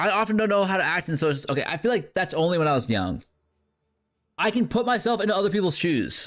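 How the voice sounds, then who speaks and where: Over a silent background on a very clean recording, a man talks at a very fast pace and high pitch. His loudness stays very even while his intonation is lively. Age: 30s. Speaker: gaming streamer. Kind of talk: live stream chat. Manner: casual, filler-heavy.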